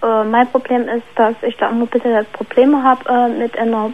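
The woman's intonation stays flat and monotone. She keeps a moderate pace and a fairly high pitch. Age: 30s. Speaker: caller. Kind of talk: personal problem by phone. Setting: phone call.

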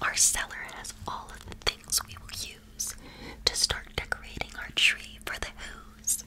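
A woman whispers, soft-spoken, at a very slow pace. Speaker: storybook reader. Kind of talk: reading a story aloud, soft ASMR-like storytelling. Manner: whispered storytelling, soft and close. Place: home room.

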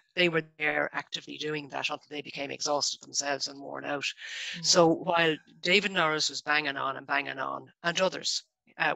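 A dry, echo-free recording with a Dublin accent, fairly even intonation and a moderate pace. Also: woman. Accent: Dublin Irish. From Ireland, Dublin. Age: 50s. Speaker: local government staff network founder; guest. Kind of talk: radio interview. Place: home room.

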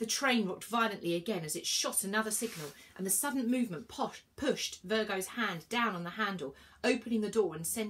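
The text is read aloud in a natural voice whose pitch shifts in an ordinary way.

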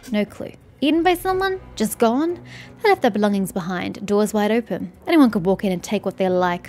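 A woman's put-on character voice at medium pitch and moderate pace, with clear background music and hissing. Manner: hostile, resentful, hissing.

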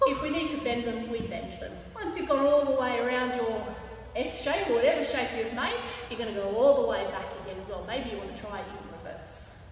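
A woman's fairly high voice at a fairly quick pace, with few pauses, ordinary pitch variation and audible room echo

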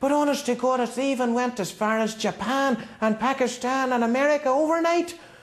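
A man with a strong Northern Irish accent speaks fairly quickly in a cheerful tone and an extremely high pitch, with hardly any pauses, ordinary pitch variation, and very even loudness, over noticeable background noise. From Northern Ireland. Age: young. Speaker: school student. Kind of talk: TV news interview answer. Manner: cheerful, comic.

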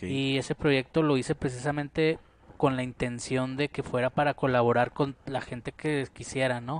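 A man speaks at medium pitch and a moderate pace. His intonation stays monotone and flat, with a dry sound and no echo. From Mexico, Parral, Chihuahua; Chihuahua, Mexico. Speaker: painter and musician; interviewee. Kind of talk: casual interview. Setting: at his home. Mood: calm, reflective. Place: home room. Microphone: headset.

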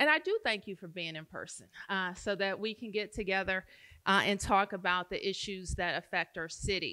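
Her tone is bright and sharp as the woman talks at a moderate pace. Behind her the background is quiet. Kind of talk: public forum speech. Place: hall. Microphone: podium.

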